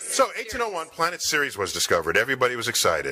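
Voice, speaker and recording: A man's bright, sharp tone with vocal fry and very wide pitch swings. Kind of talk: broadcaster-like narration. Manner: explanatory, storytelling.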